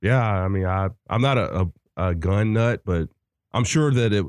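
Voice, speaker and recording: Against a quiet background, a man in a normal speaking voice talks at a fairly low pitch with ordinary pitch variation, in dry, close sound with no echo. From US South. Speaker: movie podcast co-host. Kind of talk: casual chat.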